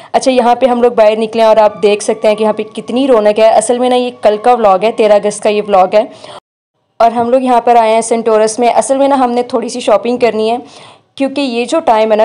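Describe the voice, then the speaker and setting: A woman's fairly high-pitched voice, dark and mellow in tone, at a fairly quick pace with fairly even intonation. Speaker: vlogger. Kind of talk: vlog narration. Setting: shopping mall.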